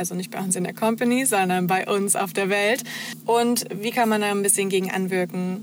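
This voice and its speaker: Over noticeable background noise, a woman talks at a moderate pace and a medium pitch, with fairly even intonation. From eastern Germany, near Magdeburg (Saxony-Anhalt). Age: 20s. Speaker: social media manager. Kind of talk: interview.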